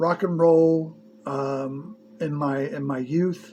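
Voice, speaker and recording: Noticeable background noise fills the recording. A man speaks in a fairly high pitch with fairly even intonation. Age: 60s. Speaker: movie reviewer. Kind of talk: casual video review monologue. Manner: halting, many fillers.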